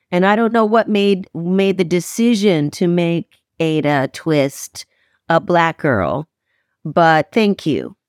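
In a normal speaking voice, a woman with a fairly low pitch and ordinary pitch variation talks at a fairly slow pace, recorded very cleanly with a silent background and a dry, close sound with no echo. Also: very even loudness. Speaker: audiobook narrator. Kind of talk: interview.

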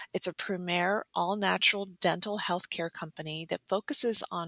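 Dry and close with no echo, this very clean recording has a silent background. A woman speaks at a moderate pace with a fairly low pitch, a bright, sharp tone and fairly even intonation. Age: 50s. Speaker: podcast host, holistic psychologist. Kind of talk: promotional intro; podcast interview.

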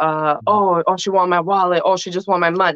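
A woman uses a whiny, put-on character voice at a medium pitch, speaking at a moderate pace with fairly even intonation. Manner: mocking, whiny.

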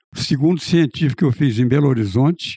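Dry and close with no echo, a man's dark, mellow, fairly high voice comes at a moderate pace with ordinary pitch variation. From Goiás, Brazil (Rio Verde). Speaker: retired professor and former mayor. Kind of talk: interview reminiscing.

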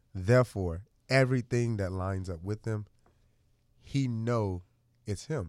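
A man with an American accent speaks fairly slowly in a fairly low pitch, with ordinary pitch variation and long, frequent pauses. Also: very clean recording, silent background. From US Midwest, Chicago. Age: 20s. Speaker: stylist and motivational speaker. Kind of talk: casual interview chat. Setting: studio.

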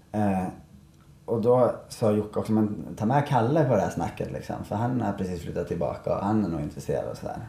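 A man's fairly low, somewhat breathy voice has a dark, mellow tone. He speaks at a fairly quick pace with lively intonation. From Sweden, Malung (Dalarna). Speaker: professional snowboarder and event organizer. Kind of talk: casual interview. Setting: café at a ski resort.

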